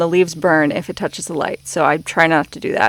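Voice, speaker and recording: Speech comes at a very fast pace with ordinary pitch variation, in a very clean recording with a silent background and a dry, close sound with no echo. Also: woman. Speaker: gardening vlogger. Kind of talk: voiceover narration. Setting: recorded voiceover at home. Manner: casual, filler words.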